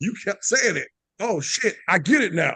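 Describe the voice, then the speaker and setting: A man's raised, projected voice with a bright, sharp tone, dry and close with no echo. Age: 40s. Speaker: podcast host. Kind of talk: casual chat.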